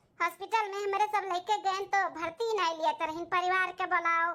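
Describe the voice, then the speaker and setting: A woman uses a cartoonish character voice at an extremely high pitch. She keeps a moderate pace and fairly even intonation. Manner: warm, motherly, earnest.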